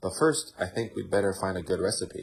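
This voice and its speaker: A lively, somewhat breathy voice with an American accent moves at a moderate pace. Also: man. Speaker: ESL teacher. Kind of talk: audiobook read-aloud.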